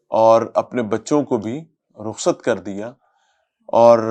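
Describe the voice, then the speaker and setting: Using an unremarkable speaking voice, a man talks at medium pitch with fairly even intonation. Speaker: interviewer. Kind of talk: interview commentary to camera.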